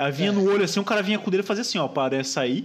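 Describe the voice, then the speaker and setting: A man talks with lively intonation. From Brazil, Santos. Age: 20s. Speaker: podcast host, designer. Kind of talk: casual chat. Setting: online call.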